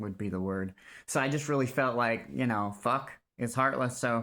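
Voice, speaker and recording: Loud and bright with a sharp tone, this voice has ordinary pitch variation on a very clean recording with a silent background. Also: man. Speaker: vlogger telling personal story. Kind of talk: personal testimony monologue. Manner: halting.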